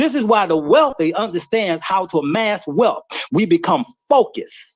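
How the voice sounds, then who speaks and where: A man's animated voice at a moderate pace, with very wide pitch swings. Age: 60s. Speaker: inventor and business owner. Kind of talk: motivational talk.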